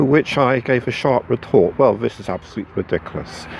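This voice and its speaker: With noticeable background noise behind him, a man talks at a moderate pace in a medium pitch with ordinary pitch variation. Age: 60s. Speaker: running club member. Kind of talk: interview. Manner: halting.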